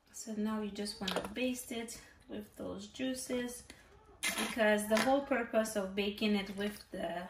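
A woman talks with fairly even intonation while noticeable background noise carries on. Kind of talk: cooking tutorial. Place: kitchen.

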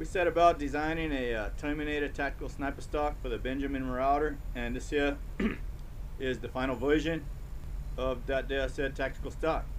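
Light background noise under a man's fairly quick pace. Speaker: product maker reviewing a rifle stock. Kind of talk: casual product review chat. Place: open country. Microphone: camera far.

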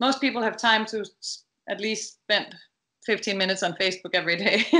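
Against a quiet background, a Danish-accented voice with a bright, sharp tone moves at a moderate pace with ordinary pitch variation. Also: woman. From Denmark. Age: 50s. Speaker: dressage rider and trainer; trainer. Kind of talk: interview. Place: home room. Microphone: video call.

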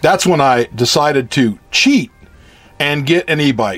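A man with a fairly high pitch speaking at a fairly slow pace, music in the background. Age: old. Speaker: retired construction project manager and engineer. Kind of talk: personal anecdote narration.

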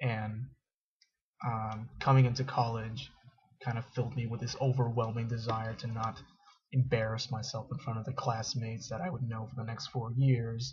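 A somewhat breathy man at a moderate pace, fairly even in intonation, over a quiet background. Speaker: college student. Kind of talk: casual talk to camera. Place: home room. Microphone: webcam.

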